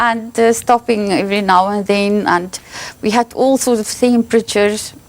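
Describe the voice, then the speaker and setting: A woman's fairly high voice, with fairly even intonation at a moderate pace over noticeable background noise. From South Africa, Orange Free State. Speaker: harpist. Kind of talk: TV interview. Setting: TV studio. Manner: hesitant.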